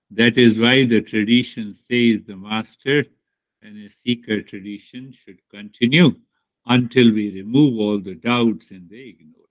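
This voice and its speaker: A man with an Indian accent, medium pitch, fairly even intonation, big swings in loudness and a fairly slow pace. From India, Bihar. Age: 60s. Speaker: spiritual teacher. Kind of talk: spiritual talk to students.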